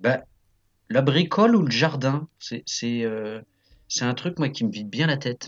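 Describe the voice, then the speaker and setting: A man talks with lively intonation, broken by long, frequent pauses. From France, Nantes area. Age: 30s. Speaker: improv actor. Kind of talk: casual interview. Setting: remote call. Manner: hesitant, many fillers.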